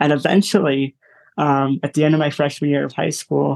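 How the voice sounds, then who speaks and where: Recorded with a dry, close sound and no echo, a man with an American accent speaks at a fairly high pitch with fairly even intonation. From US Midwest (Michigan, then Illinois). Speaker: musician and motivational speaker. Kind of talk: interview conversation. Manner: hesitant, many fillers.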